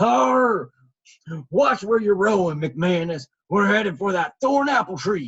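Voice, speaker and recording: Doing a put-on character voice, a man speaks fairly slowly in a gruff, high-pitched tone with very wide pitch swings and very even loudness. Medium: read story. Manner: gruff, scoffing.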